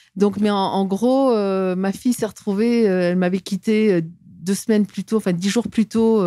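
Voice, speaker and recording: A woman talks at a moderate pace with medium pitch and fairly even intonation. Her tone is dark and mellow, the sound is dry with no echo, and the background is quiet. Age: 60s. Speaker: former diplomat and whistleblower; interview guest. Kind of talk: interview testimony. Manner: halting, frequent repetitions. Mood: aggrieved, earnest. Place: studio. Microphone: studio mic.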